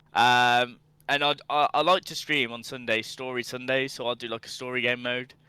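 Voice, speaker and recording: This very clean recording with a silent background captures a man of medium pitch with a Birmingham accent and a bright, sharp tone. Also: moderate pace. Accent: Birmingham (Brummie). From England, Birmingham. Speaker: gaming streamer. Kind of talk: casual podcast chat. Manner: animated.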